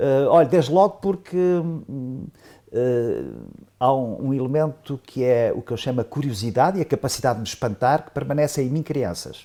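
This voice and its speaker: At a moderate pace, a man speaks with a dark, mellow tone, fairly high pitch and ordinary pitch variation. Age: 70s. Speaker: professor, economist. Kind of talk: panel discussion. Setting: round table with audience. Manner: halting, many fillers.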